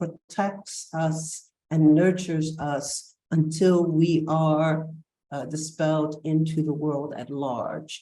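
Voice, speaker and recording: Here a woman speaks with a very deep, low pitch. Her tone is dark and mellow. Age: 70s. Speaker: panel moderator, scholar. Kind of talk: panel discussion remarks. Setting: video call. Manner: hesitant with fillers.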